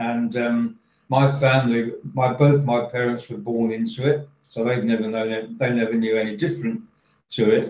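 A plain, everyday voice from a man, medium-pitched, fairly even in intonation, at a moderate pace. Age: 60s. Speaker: professional speaker and author. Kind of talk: casual interview, storytelling.

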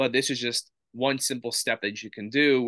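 The tone is bright and sharp, with an American accent. The sound is dry and close with no echo over a quiet background. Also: man. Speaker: sports nutrition business founder. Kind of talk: interview.

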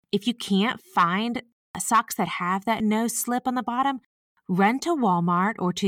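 Recorded dry and close with no echo against a silent background, very clean, a woman with a Southern US accent speaks at a fairly slow pace. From US South. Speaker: podcast host and senior care advisor. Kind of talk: informal scripted-style podcast monologue. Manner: friendly, conversational.

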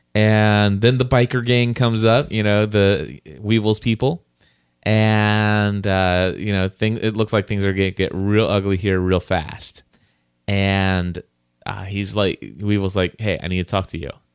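A man's normal speaking voice at a fairly low pitch, fairly slow and fairly even in intonation, on a very clean recording with a silent background. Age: 40s. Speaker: podcast host. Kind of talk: casual chat; sponsor read.

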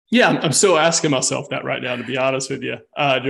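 A man rattles along at a very fast pace in a medium-pitched voice with vocal fry. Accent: Southern US. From US South. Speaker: fitness coach. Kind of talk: casual chat.

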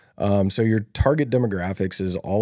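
A man with an American accent speaks in a very deep, low voice with a dark, mellow tone, on a very clean recording with a silent background. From US South (Louisiana, Alabama, Texas). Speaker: podcast host, online business coach. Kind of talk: casual chat.

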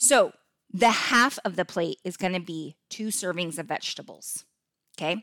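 This woman's voice has a bright, sharp tone and an animated delivery. The recording is very clean, dry and close, with a silent background and no echo. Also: medium pitch for a woman, ordinary pitch variation, moderate pace. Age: 50s. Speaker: podcast host and health coach. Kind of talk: casual solo podcast tutorial.

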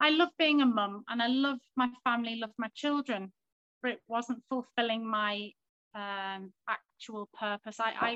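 A woman with a Liverpool accent, fairly high in pitch with a bright, sharp tone, fairly slow and fairly even in intonation, dry and close with no echo. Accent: Liverpool (Scouse) English. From Liverpool, England. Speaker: stay-at-home mother and coaching client. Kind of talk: interview.

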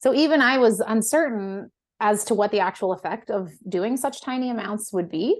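This woman has a plain, everyday voice with an American accent, pitched fairly high. She speaks at a moderate pace with ordinary pitch variation. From US West Coast. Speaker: founder of a microdosing supplement company. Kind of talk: casual interview chat.

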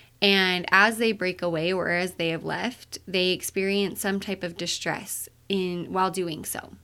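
With hardly any pauses, a woman speaks at a fairly slow pace in a bright, sharp tone, her medium pitch delivered in a flat monotone on a very clean recording with a silent background. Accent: Utah. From Utah. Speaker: mental health therapist, podcast host. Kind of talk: solo podcast monologue. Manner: casual, with filler words.

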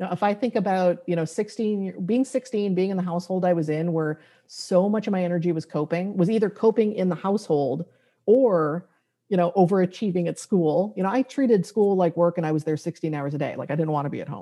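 Speaking in a normal speaking voice with an American accent, a woman talks at a fairly quick pace with medium pitch and ordinary pitch variation. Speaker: graphic facilitator and author. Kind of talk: interview.

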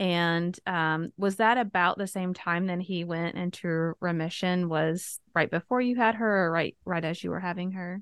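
A woman with an ordinary speaking voice and fairly low pitch talks at a moderate pace with fairly even intonation and hardly any pauses, in a dry, close sound with no echo and a quiet background. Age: 40s. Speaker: podcast host, widow coach. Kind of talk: interview.

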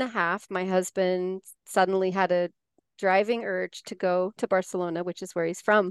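Against a quiet background, a woman with a General American accent talks at a moderate pace in a medium pitch, her intonation monotone and flat and the sound dry and close with no echo. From US, Colorado (Four Corners area). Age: 40s. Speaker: life coach and writer. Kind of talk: casual interview.

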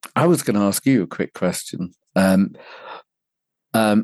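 Speaking at a moderate pace with ordinary pitch variation, a man has a British accent. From England (London). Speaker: men's personal development coach. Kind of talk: interview. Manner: gentle.

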